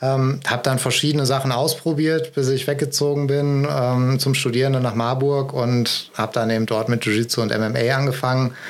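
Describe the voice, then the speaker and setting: A man at medium pitch, monotone and flat, with very even loudness, a moderate pace and hardly any pauses, over noticeable background noise. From Ruhr area, Germany (Essen). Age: 30s. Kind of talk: interview.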